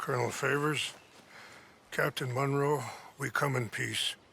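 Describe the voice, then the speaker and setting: A man's put-on character voice, raspy and calm in tone, fairly high in pitch, with monotone, flat intonation at a moderate pace. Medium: video game. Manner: calm, measured, dignified.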